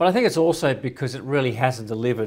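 A man with an Australian accent, medium pitch, ordinary pitch variation and a very fast pace. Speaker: financial commentator. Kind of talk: interview.

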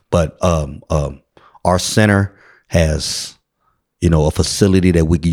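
With a Bay Area accent, the voice comes through on a very clean recording with a silent background and a dry, close sound with no echo. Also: man. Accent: Bay Area urban American English. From San Francisco, South of Market. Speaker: community organization founder. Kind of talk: casual interview. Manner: animated.

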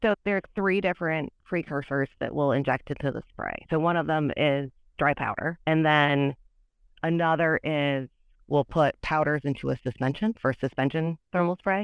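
A woman with an American accent, ordinary pitch variation and a moderate pace. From US Midwest, Michigan. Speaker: materials scientist. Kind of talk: technical interview.

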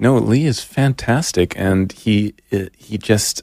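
A man with a fairly low pitch and ordinary pitch variation, in a dry, close sound with no echo. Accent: American. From Germany and New Jersey. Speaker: filmmaker. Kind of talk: interview. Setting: studio.

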